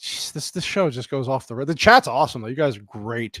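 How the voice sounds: Recorded dry and close with no echo, a man talks at a medium pitch with ordinary pitch variation and an East Coast American accent.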